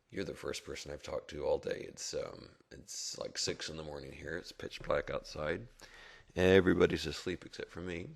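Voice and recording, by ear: In a put-on character voice, a man speaks at a moderate pace, sounding hoarse and raspy.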